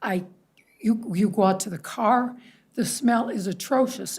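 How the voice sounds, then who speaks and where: Medium pitch for a woman, somewhat breathy, with ordinary pitch variation and a moderate pace. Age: 70s. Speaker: resident speaking at public comment. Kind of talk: public comment at council meeting.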